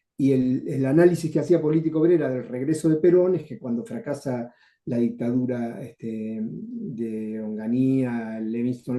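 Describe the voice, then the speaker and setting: A man talks at a fairly slow pace in a dark, mellow tone. His pitch is medium, with ordinary variation. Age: 70s. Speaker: retired journalist and former left-wing activist. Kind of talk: interview.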